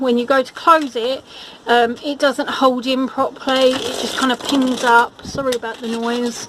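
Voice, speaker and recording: Noticeable background noise surrounds a woman speaking at a high pitch. Her intonation is fairly even and her pace fairly slow. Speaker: gardening vlogger. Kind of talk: casual video walkthrough.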